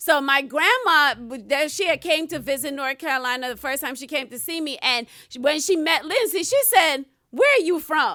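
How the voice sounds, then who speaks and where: Delivered at a moderate pace with an American accent, this raised, projected voice has a bright, sharp tone and big swings in loudness. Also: woman, high pitch for a woman, lively intonation. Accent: Guyanese, comes out at times. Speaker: guest. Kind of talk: casual chat.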